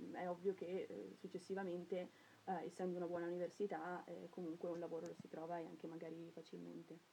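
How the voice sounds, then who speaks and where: At a very fast pace, a woman speaks in a fairly low pitch with vocal fry, a dark, mellow tone and fairly even intonation. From Trentino, Italy (Cavalese). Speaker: university student. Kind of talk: interview. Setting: radio studio.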